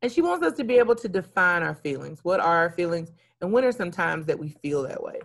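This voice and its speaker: On a very clean recording with a silent background, a woman talks at a very fast pace in a fairly low pitch. Her tone is animated and her intonation lively. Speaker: elementary school teacher. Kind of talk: recorded lesson for young children. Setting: recorded video lesson.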